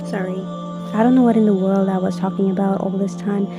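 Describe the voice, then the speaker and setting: Music plays in the background as a woman talks. Her medium-pitched voice stays monotone and flat. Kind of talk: casual voice-over narration of a crafting video.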